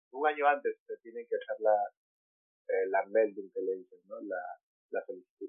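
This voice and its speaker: Pausing long and often, a man speaks at a moderate pace with big swings in loudness. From Peru, Lima. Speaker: artist. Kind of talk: interview.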